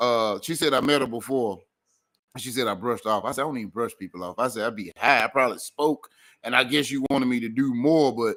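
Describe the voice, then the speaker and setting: A man with a Memphis accent talks at a very fast pace in a bright, sharp tone. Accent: Memphis accent, kept. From Memphis, Tennessee. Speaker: comedian, radio host. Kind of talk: casual chat.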